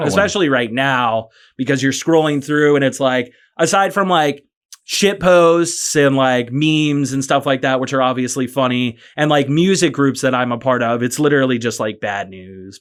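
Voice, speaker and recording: In a very clean recording with a silent background, a man talks in an ordinary speaking voice at a medium pitch, with ordinary pitch variation and a moderate pace. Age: 30s. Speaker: rock singer. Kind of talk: podcast interview answer. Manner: casual.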